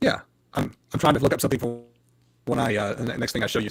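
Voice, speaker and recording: Speaking at a very fast pace, a man uses a medium pitch with vocal fry. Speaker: audio show co-host. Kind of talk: casual tech chat.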